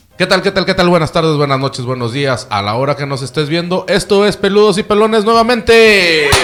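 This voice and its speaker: Over noticeable background noise, a man with a Mexican accent talks at a high pitch with lively intonation and hardly any pauses. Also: fairly quick pace. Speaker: podcast host. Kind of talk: casual chat.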